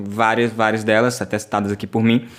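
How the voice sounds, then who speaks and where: Very clean recording, silent background, a man's voice alone. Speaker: web show host. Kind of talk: interview.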